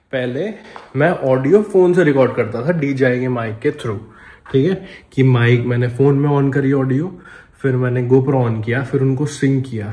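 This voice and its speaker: Audible room echo around a man speaking at a medium pitch, his pitch variation ordinary. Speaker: vlogger. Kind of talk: casual vlog talk to camera. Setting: on a motorbike, helmet camera. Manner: casual, chatty.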